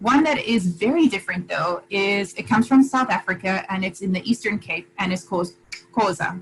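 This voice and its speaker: The woman's voice is somewhat breathy. Her intonation stays lively. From Zimbabwe. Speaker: guest interviewee. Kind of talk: interview conversation.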